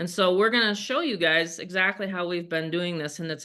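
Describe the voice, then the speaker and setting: Spoken at a moderate pace with an American accent, the voice shows ordinary pitch variation. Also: woman. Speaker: online marketing coach. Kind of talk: video call presentation. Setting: video call. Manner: casual, conversational.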